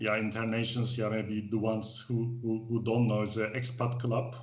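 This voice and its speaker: Monotone, flat delivery from a man with a Turkish accent, at a fairly slow pace with audible room echo. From Turkey. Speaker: expat club organizer. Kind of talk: casual interview. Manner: halting.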